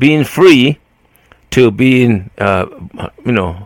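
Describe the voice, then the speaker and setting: The man's speech moves at a fairly slow pace. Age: 70s. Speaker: podcast co-host. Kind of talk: casual chat.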